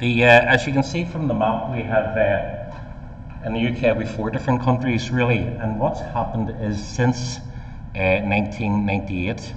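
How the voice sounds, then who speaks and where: Over audible room echo and noticeable background noise, a man in a Northern Irish accent speaks at a medium pitch and moderate pace with fairly even intonation. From Northern Ireland. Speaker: professor, housing expert. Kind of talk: conference talk. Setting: conference stage with audience.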